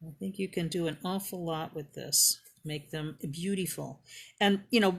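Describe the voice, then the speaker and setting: Her fairly low, somewhat breathy voice moves at a moderate pace, with ordinary pitch variation and big swings in loudness, from a woman speaker. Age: 60s. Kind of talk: live craft demonstration. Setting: live stream in online group. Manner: casual, chatty.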